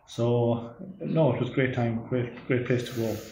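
In an Irish accent, a man speaks at a moderate pace with a dark, mellow tone that is somewhat breathy, and audible room echo is present. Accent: Irish (Clare). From Ireland, West Clare. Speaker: agricultural research scientist. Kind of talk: interview.

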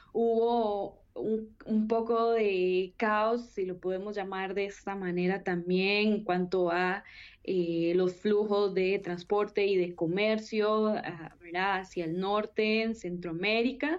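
A medium-pitched woman's voice at a very slow pace, with fairly even intonation. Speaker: political science researcher. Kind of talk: panel discussion. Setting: remote call.

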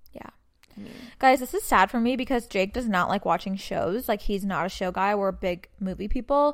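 A woman with an unremarkable speaking voice talks at a moderate pace and medium pitch, with ordinary pitch variation. Her loudness swings widely over a very clean recording with a silent background. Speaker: podcast host. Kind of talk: casual chat. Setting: working from home during quarantine.

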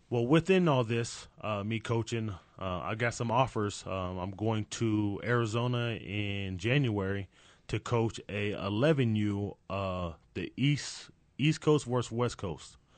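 In a normal speaking voice, a man speaks at a fairly slow pace with a fairly low pitch and ordinary pitch variation against a quiet background. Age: 30s. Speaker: youth football coach. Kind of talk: interview.

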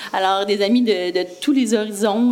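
Fairly slow delivery with ordinary pitch variation over noticeable background noise. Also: woman. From Quebec, Brossard. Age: 40s. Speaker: entrepreneur. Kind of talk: interview.

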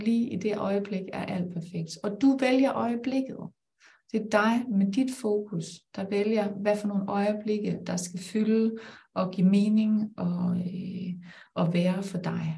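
At a very slow pace, a woman with a medium pitch talks in a somewhat breathy, dark, mellow tone with fairly even intonation, and the room echo is audible. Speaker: life coach and business mentor. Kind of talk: live-streamed conversation.

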